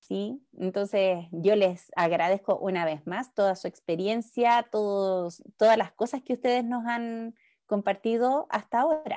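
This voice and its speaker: A woman speaks with a Chilean accent at a fairly slow pace, her medium-pitched voice dark and mellow with ordinary pitch variation. The recording is very clean with a silent background and a dry, close sound with no echo. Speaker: speech therapist. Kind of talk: interview.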